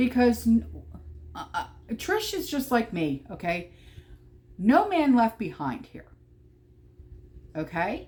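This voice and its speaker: Speaking very slowly in a New Jersey accent, a woman leaves long, frequent pauses and makes big swings in loudness. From New Jersey, Atlantic City. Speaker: prepper vlogger. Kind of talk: casual vlog monologue. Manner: animated, emphatic; repeated okay fillers, stammering.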